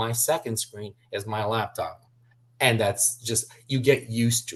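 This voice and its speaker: A man of medium pitch speaks at a fairly slow pace in a monotone, flat way, somewhat breathy. His loudness swings widely. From southern Brazil, Curitiba. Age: 40s. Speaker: sports interpreter. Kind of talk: interview conversation.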